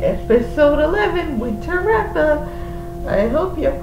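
Very slow speech with music in the background. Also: woman. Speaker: reaction vlogger. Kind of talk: casual vlog chat. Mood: relaxed, slightly wistful. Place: home room. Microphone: webcam.

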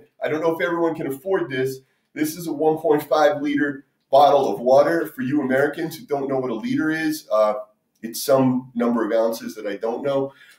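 A man speaks at a moderate pace with audible room echo over a quiet background. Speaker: fitness instructor. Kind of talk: tutorial. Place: kitchen. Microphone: camera far.

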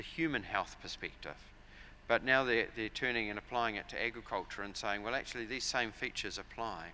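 The voice is bright and sharp, with a New Zealand accent and a fairly quick pace. Pitch varies in an ordinary way over light background noise. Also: man. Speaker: agricultural software company director. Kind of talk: conference presentation. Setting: stage with audience. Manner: frequent fillers and repetitions. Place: hall. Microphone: podium.

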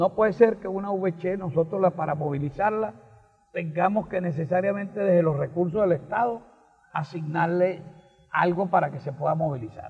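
The voice is high for a man. He talks at a moderate pace. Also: ordinary pitch variation. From Venezuela, Portuguesa state. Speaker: political talk show co-host, economist. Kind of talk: political opinion discussion. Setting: recorded outdoors for local TV. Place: garden. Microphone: handheld.

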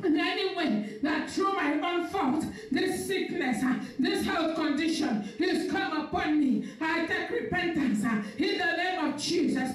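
A woman speaks at a fairly slow pace with an extremely high pitch. Light background noise and audible room echo are present. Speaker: pastor. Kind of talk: sermon and fervent prayer. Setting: live stream church service. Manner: fervent, forceful, declaring prayer with rising intensity. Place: church.

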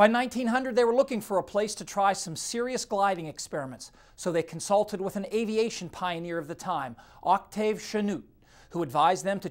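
Moderate pacing, recorded very cleanly against total silence. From Ohio. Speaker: TV weather presenter. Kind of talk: scripted narration.

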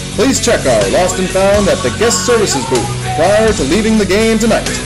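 A man's voice over clear music in the background. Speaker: stadium PA announcer. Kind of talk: baseball stadium public address announcement. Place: booth. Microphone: handheld.

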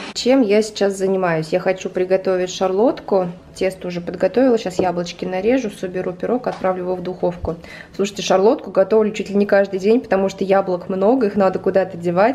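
Over light background noise, a woman speaks at a very fast pace. Her intonation stays fairly even. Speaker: home vlogger. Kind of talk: casual vlog chat. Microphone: phone near.

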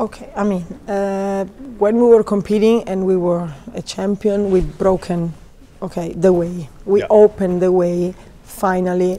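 The voice has a dark, mellow tone. It carries an Italian accent. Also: woman, medium pitch for a woman, fairly even intonation, moderate pace. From Italy. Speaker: figure skating coach; ice dance coach. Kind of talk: interview. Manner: halting. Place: hall. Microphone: lapel.

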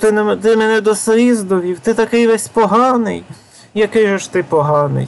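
This put-on character voice is whiny and fairly high, delivered at a moderate pace in a whiny, tearful tone. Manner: whiny, mock-tearful.

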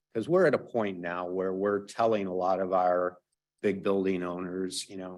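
This man's voice sits very deep and low in pitch. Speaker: city building commissioner. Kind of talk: presentation at council meeting. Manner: loud.

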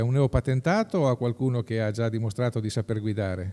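Against a quiet background, a dark, mellow voice talks at a very fast pace. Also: man. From Marche, Pesaro-Urbino inland (Urbania); Marche. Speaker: political candidate, entrepreneur; candidate. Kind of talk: interview. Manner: halting. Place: hall. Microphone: studio mic.

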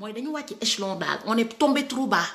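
Against a quiet background, a woman speaks in a raised, projected voice at a fairly slow pace. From Senegal. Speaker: political commentator. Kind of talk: political rant. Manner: animated. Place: home room. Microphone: phone near.

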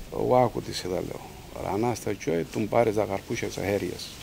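At a moderate pace, a man speaks in a Cappadocian accent over light background noise. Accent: Cappadocian Greek dialect (Misti variety). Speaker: farmer. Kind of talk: narrative interview answer. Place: garden.

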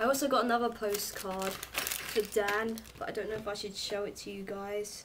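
A woman speaks with a southern English accent and fairly even intonation. Noticeable background noise runs behind her. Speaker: vlogger. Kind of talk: casual chat. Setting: home video recording. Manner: chatty, rambling.

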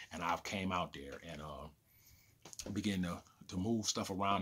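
A man's very deep, low voice holds a fairly even intonation. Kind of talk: casual vlog chat. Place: home room. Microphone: phone near.

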